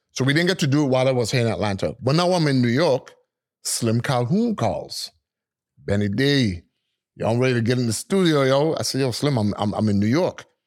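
A man's normal speaking voice at a medium pitch, fairly quick, with lively intonation and very even loudness. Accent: American. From US Virgin Islands, St. Thomas. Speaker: DJ and music producer. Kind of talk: casual interview storytelling.

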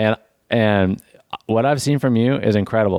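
A man's plain, everyday voice at medium pitch, with ordinary pitch variation and a dry, close sound with no echo on a very clean recording with a silent background. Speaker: podcast co-host. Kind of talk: casual comedy chat, improvised movie pitch. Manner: joking, laughing.

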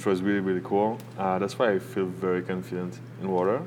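Speaking with a French accent at a fairly quick pace, a man has a very deep, low pitch, with noticeable background noise. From southern France, Nice. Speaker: beginner surfer. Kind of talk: casual chat. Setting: cafe by a fire.

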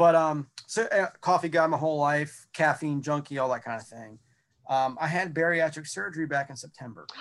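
In an unremarkable speaking voice, a man with an American accent talks at a moderate pace and a fairly high pitch, with ordinary pitch variation. His loudness swings widely against a quiet background. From North Carolina, US South. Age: 30s. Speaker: metal musician. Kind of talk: casual chat.

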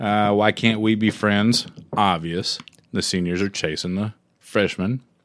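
In a Southern US accent, a man talks at a fairly slow pace with a fairly low pitch. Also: fairly even intonation. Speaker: music podcast co-host. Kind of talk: casual chat.

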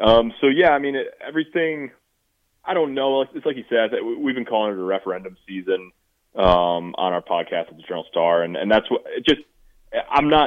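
At a fairly quick pace, a man speaks in a medium pitch. His pitch swings very widely. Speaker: sports reporter. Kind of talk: phone interview about football. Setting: phone call. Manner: serious, serious-sounding.

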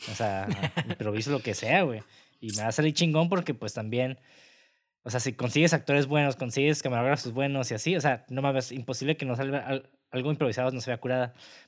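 This man's speech comes very fast, captured on a very clean recording with a silent background. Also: medium pitch for a man, ordinary pitch variation. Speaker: film podcast host. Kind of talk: casual chat; reading notes aloud.

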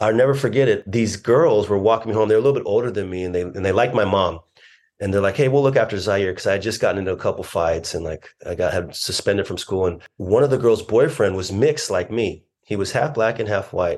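With an American accent, a man talks at a very fast pace in a fairly low pitch, using ordinary pitch variation against a quiet background. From Southern California (Orange). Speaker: breathwork facilitator. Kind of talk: casual chat. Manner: halting, many fillers.

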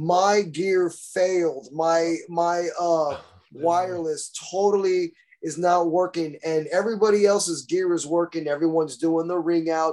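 Speaking at a fairly slow pace with a Texan accent, a man holds a high pitch and fairly even intonation. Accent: Texan American. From central Texas, San Marcos. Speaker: metal guitarist. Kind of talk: casual chat.

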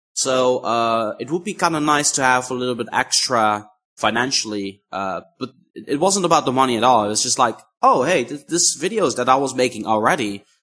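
A man's medium-pitched voice with a Dutch accent, a bright, sharp tone, lively intonation and a moderate pace. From Netherlands. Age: 20s. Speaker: YouTuber. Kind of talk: interview.

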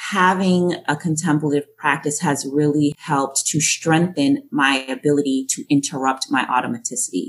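Speaking with an American accent at a moderate pace, the voice shows ordinary pitch variation, very even loudness and hardly any pauses. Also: woman, very deep, low pitch for a woman. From Boston and Jamaica. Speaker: education program director and speaker. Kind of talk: interview, conversational.

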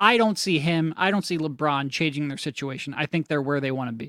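A man with an American accent and an unremarkable speaking voice talks fairly quickly at a fairly high pitch. The sound is dry and close with no echo, in a very clean recording with a silent background. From Philadelphia. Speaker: basketball analyst. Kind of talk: sports talk interview.

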